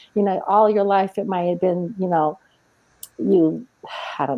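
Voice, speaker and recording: A woman speaks with ordinary pitch variation. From Mexico. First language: Spanish. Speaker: entrepreneur and author. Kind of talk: interview. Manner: soft-spoken; occasionally tongue-tied.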